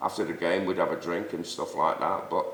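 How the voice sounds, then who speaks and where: Audible room echo follows a man speaking at a fairly slow pace. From Manchester, northern England. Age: 60s. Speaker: Sunday league football figure, host's father. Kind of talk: casual debate.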